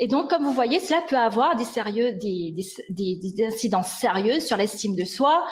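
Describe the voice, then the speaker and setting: With noticeable background noise behind her, a woman speaks at a fairly high pitch and a moderate pace, her intonation lively. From Mauritius. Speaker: linguistics researcher, lecturer. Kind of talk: lecture. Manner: hesitant, many fillers.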